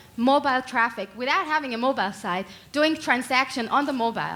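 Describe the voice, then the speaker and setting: A woman with a fairly high pitch talks at a fairly quick pace with ordinary pitch variation. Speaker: startup co-founder. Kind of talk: startup pitch. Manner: fast.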